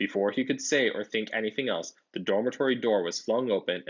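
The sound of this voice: Pitch moves in an ordinary way. It is an unforced reading voice.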